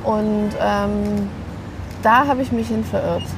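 Through noticeable background noise, a woman's voice comes with audible room echo. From Berlin, Germany. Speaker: stylist and author. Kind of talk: casual chat. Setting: outdoor drinks kiosk.

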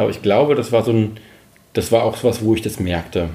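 A man's dark, mellow, somewhat breathy voice at a very fast pace with ordinary pitch variation. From Saxony, Dresden. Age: 40s. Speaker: freelance journalist. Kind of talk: casual interview. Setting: home. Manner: halting.

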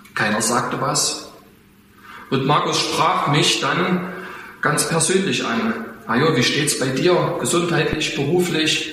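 With audible room echo and noticeable background noise, a man speaks at a very slow pace in a fairly high pitch, with ordinary pitch variation, very even loudness and long, frequent pauses. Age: 40s. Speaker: church elder and farmer. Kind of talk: testimony.

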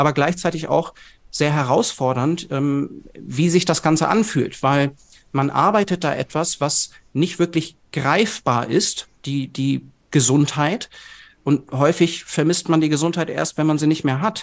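At a fairly slow pace, a normal speaking voice comes through over a quiet background. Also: man, fairly high pitch for a man, ordinary pitch variation. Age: 30s. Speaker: nutrition expert and company founder. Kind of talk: podcast interview.

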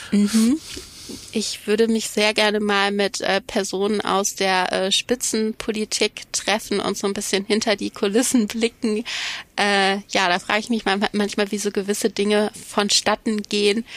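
The woman talks at a fairly slow pace with medium pitch and monotone, flat intonation, the sound dry and close with no echo. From Germany, Cologne. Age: 30s. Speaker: psychology professor. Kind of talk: interview.

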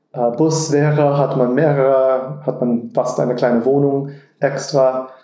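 A man's dark, mellow tone, very slow pace and monotone, flat intonation, with audible room echo. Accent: American. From Texas, Austin. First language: English (speaking German). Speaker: car designer. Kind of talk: interview. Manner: halting.

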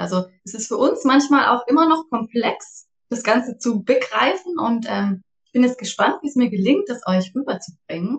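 Her voice is somewhat breathy, and this woman speaks with lively intonation. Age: 40s. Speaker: startup co-founder. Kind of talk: casual interview.

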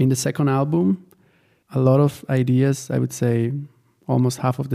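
Dark and mellow in tone, the speech moves at a moderate pace with fairly even intonation. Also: man. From Italy. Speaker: guitarist and producer. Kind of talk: interview.

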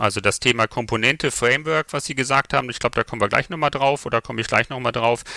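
A man at a very fast pace with a bright, sharp tone and ordinary pitch variation, on a very clean recording with a silent background and a dry, close sound with no echo. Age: 50s. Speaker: software company founder. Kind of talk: interview. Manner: hesitant fillers.

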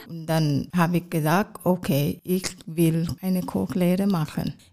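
In a Thai accent, a woman talks at a very slow pace with a dark, mellow tone. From Thailand, Bangkok. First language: Thai (speaking German). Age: 40s. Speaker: hospital kitchen cook. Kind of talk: interview.

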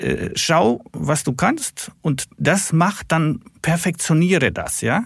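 A man at a fairly high pitch with vocal fry and ordinary pitch variation, at a very slow pace. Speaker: stock market analyst. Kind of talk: casual chat.

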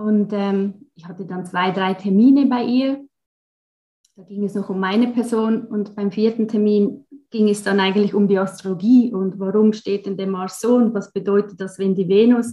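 At a moderate pace, a woman speaks at medium pitch in a dark, mellow, somewhat breathy tone, her intonation fairly even but her loudness swinging widely. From Switzerland (German-speaking). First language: Swiss German (speaking German). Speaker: astrologer. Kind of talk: interview.

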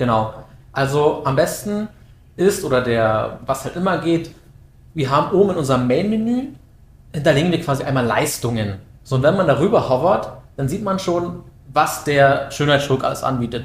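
With audible room echo, a man with a somewhat breathy, fairly high voice talks at a moderate pace, his intonation lively and his pauses long and frequent. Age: 20s. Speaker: SEO project manager. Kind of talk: casual expert interview.

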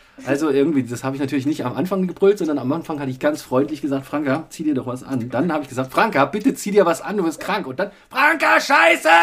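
At a very fast pace with hardly any pauses, a man speaks in a fairly high voice with ordinary pitch variation. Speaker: father podcasting with his child. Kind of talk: casual chat. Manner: animated.

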